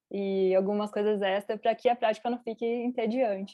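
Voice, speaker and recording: A woman speaks with a Brazilian accent at a fairly high pitch. Her pace is fairly quick and her intonation is monotone and flat. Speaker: interpreter. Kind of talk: interpreting.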